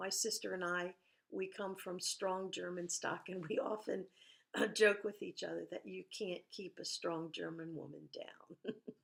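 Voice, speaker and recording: A woman at a fairly slow pace. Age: 60s. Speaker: cancer survivor. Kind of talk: interview testimony.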